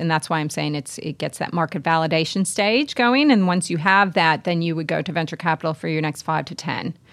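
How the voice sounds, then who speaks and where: An unremarkable speaking voice from a woman, fairly low-pitched with ordinary pitch variation, with an American accent, in a very clean recording over a silent background. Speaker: investment advisor and startup investor. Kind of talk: interview.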